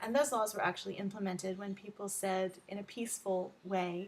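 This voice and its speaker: A woman with an American accent talks at a moderate pace with fairly even intonation. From Texas. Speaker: learning advocate and tutor. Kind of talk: self-introduction video. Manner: frequent filler ums.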